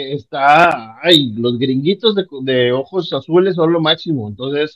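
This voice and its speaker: The man has an animated tone and a fairly high pitch. His pace is fairly slow, and his pitch variation is ordinary. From Panama, then northern Mexico. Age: 40s. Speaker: podcast guest. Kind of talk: casual chat.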